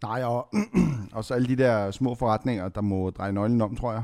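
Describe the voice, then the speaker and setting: In a normal speaking voice, a man talks at medium pitch and a moderate pace with fairly even intonation. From Lebanon. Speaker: podcast co-host. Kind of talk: casual chat.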